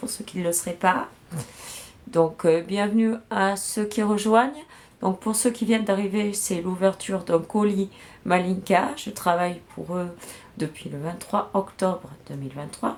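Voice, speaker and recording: At a very slow pace, a woman talks at a medium pitch with ordinary pitch variation over noticeable background noise. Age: 40s. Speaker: beauty product sales rep streamer. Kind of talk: live product unboxing sales stream. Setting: livestream. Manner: casual, hesitant with fillers.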